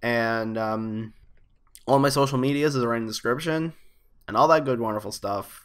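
In a quiet setting, a man talks at a moderate pace with ordinary pitch variation and long, frequent pauses. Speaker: gaming youtuber; gaming video creator. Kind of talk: casual video commentary. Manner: halting, many fillers. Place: home room. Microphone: webcam.

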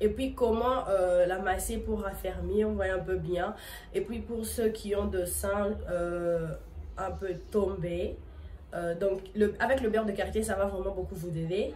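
A woman's voice at a very slow pace, with noticeable background noise. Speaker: video blogger. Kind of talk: casual vlog tutorial. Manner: casual, hesitant with fillers.

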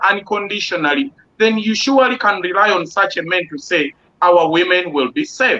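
Raising and projecting his high voice, a man speaks at a moderate pace with ordinary pitch variation. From Uganda. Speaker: online talk show host; panel host or moderator. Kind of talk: panel discussion. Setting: video call. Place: home room. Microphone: video call.

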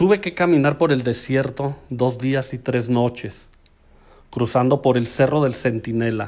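A man with a Mexican accent, fairly slow pace, ordinary pitch variation, quiet background. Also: medium pitch for a man. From Aguascalientes, Mexico. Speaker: community promoter, storyteller.

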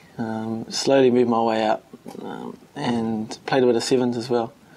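A man's monotone, flat voice over light background noise. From New Zealand, Wellington and Palmerston North; New Zealand. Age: young. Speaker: rugby player. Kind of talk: interview. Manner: hesitant, many fillers. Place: meeting room.

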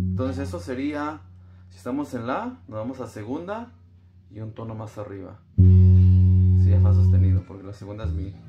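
Music plays behind a man talking at a moderate pace with ordinary pitch variation. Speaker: bass teacher. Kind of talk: tutorial. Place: home room. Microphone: phone near.

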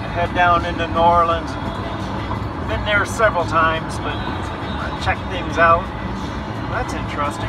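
With music in the background, a man talks with ordinary pitch variation and long, frequent pauses. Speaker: road trip vlogger. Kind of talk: casual vlog chat. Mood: dry, wry humor. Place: car. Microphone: phone near.

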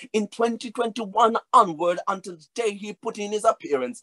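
In a raised, projected voice, a man speaks at a fairly slow pace with an animated, bright and sharp tone. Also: quiet background. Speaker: preacher. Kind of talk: sermon. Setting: virtual church service. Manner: animated, rhythmic preaching; urgent, earnest appeals to the congregation. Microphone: webcam.

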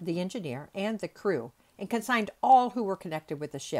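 Lively intonation in a natural reading voice

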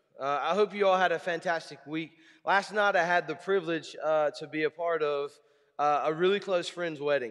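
Against a quiet background, a man with a high pitch and ordinary pitch variation speaks at a moderate pace. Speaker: preacher. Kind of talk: sermon. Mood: warm, light humor. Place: church.

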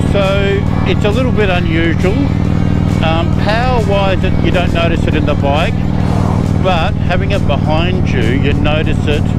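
The voice moves at a fairly slow pace. Music plays underneath, and the sound is dry with no echo. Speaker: motorcycle vlogger. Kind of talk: casual vlog chat. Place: motorbike. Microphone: helmet.

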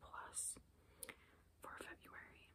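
Whispering fills the clip. The whisperer is a woman. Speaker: beauty ASMR creator. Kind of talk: ASMR whisper ramble. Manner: whispered. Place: home room. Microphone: phone near.

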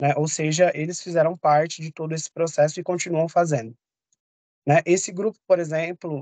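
With a plain, everyday voice, a man speaks at a moderate pace and a fairly high pitch, his intonation fairly even, over a quiet background in dry sound with no echo. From São Paulo, East Zone; São Paulo, Brazil. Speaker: public health specialist; course lecturer. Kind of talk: online lecture. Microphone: video call.

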